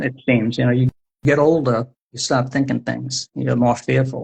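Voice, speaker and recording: Here a man talks at a moderate pace with an American accent. His medium-pitched voice is somewhat breathy. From US Northeast, Providence, Rhode Island. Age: 60s. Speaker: poet and author. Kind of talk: interview conversation. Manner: halting.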